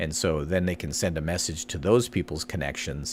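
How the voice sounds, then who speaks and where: Vocal fry runs through this man's voice. He talks at a fairly quick pace. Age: 60s. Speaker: marketing podcast host. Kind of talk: casual tutorial commentary. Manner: conversational with many fillers.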